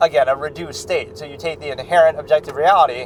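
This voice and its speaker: A man with a fairly high pitch, talking at a very fast pace over noticeable background noise. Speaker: film reaction channel host. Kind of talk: philosophical monologue. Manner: loud; halting.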